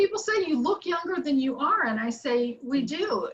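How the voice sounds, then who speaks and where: Using very wide pitch swings, a woman with an American accent speaks at an extremely high pitch. Her pace is fairly slow. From Ohio, US Midwest. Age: 70s. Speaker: sales director, motivational speaker. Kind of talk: seminar talk. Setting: video call. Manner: animated.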